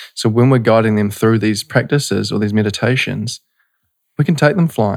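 The recording is very clean and the background silent. A man talks in a New Zealand accent. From New Zealand, North Canterbury. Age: 20s. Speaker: breathwork and meditation facilitator. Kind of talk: casual interview. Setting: studio.

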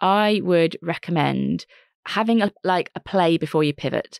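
A woman with a normal speaking voice, fairly low in pitch and lively in intonation, is heard against a quiet background in a dry, close sound with no echo. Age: 40s. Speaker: entrepreneur and careers author. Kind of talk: interview.

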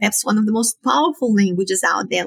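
A woman's fairly high, somewhat breathy voice with a Romanian accent, ordinary pitch variation, and a dry, close sound with no echo. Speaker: psychology professor. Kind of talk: interview.

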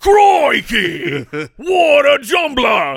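A put-on character voice at a high pitch. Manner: exaggerated, over-the-top.

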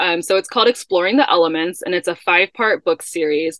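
A woman with an American accent speaks fairly quickly in a normal speaking voice, at a medium pitch with ordinary pitch variation. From US Midwest, Chicago. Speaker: children's book author and wellness entrepreneur. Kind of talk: casual interview. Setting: in a camper van.

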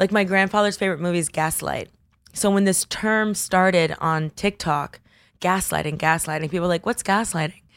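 In an ordinary speaking voice with an American accent, a woman talks at a fairly quick pace with medium pitch and ordinary pitch variation, on a very clean recording with a silent background. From Miami, Florida (Coral Gables). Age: 30s. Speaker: pop culture influencer. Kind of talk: casual chat.

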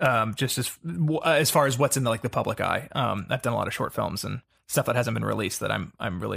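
A man's medium-pitched voice in an American accent, with vocal fry and a fairly quick pace, on a very clean recording with a silent background. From US South, Atlanta. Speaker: actor. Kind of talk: casual chat.

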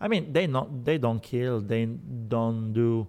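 Speaking at a very slow pace, a man has an Italian accent. His pitch is medium, with ordinary variation. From Sicily, Italy. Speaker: journalist. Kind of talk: interview. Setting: restaurant. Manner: halting.

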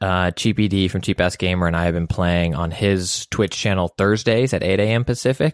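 Speaking at a fairly quick pace and fairly low pitch, a man uses an unremarkable speaking voice, the sound dry and close with no echo against a quiet background. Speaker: podcast co-host and comedian. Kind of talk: casual chat.

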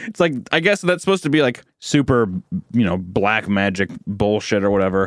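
Lively intonation and a moderate pace from a man with a normal speaking voice. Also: fairly low pitch for a man. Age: 20s. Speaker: podcast co-host. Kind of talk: casual chat.

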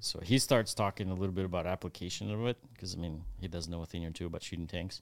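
With a very deep, low pitch and fairly even intonation, a man speaks at a fairly quick pace. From Ukraine. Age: 30s. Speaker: volunteer fighter in Ukraine. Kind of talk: interview testimony. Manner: halting with many fillers.

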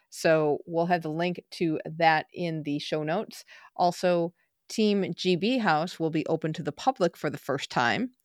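This woman has a normal speaking voice with an American accent, a fairly low pitch and ordinary pitch variation. She talks at a fairly slow pace, and the sound is dry and close with no echo. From United States. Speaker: podcast host. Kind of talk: scripted segment reading; interview.

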